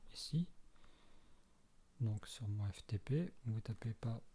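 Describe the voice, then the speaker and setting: A man's somewhat breathy, dark, mellow voice of medium pitch, with ordinary pitch variation. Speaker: tutorial maker. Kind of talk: tutorial. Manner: halting.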